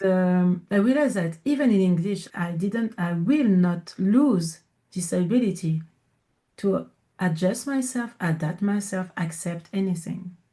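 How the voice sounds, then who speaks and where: A woman with a French accent, medium in pitch, dark and mellow in tone, somewhat breathy, at a fairly slow pace with ordinary pitch variation. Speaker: coach and entrepreneur. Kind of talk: interview. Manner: deliberately slowed in English; halting.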